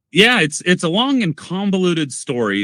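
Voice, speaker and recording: A man's bright, sharp voice with lively intonation, on a very clean recording with a silent background and a dry, close sound with no echo. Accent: American. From US South (Arkansas). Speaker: coffee content creator. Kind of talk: casual chat. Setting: home studio.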